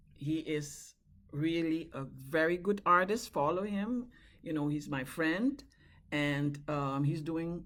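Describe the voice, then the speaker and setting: A woman speaks very slowly in a very deep, low voice with lively intonation. The recording is very clean, with a silent background. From Suriname. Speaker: singer and songwriter. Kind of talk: casual chat.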